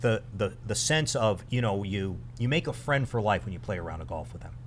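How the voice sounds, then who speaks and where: Fairly low in pitch, a man speaks with vocal fry and ordinary pitch variation. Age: 60s. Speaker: retired military officer and charity co-founder. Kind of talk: podcast interview. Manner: halting.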